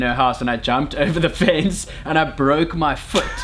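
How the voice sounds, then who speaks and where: Against noticeable background noise, a man speaks at a moderate pace with fairly even intonation. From South Africa, Cape Town. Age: 20s. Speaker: friend of the vlogger. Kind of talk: casual chat.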